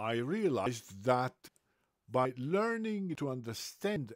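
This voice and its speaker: A man speaks at a very slow pace with very wide pitch swings. The sound is dry with no echo, and the background is quiet. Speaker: book reader. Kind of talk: reading aloud. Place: home room. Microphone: webcam.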